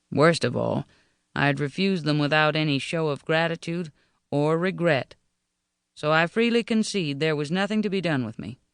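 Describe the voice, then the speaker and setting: This man talks at a fairly quick clip in a normal speaking voice, pitched fairly high, with ordinary pitch variation. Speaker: audiobook narrator. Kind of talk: audiobook narration of historical fiction. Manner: wry, no-nonsense.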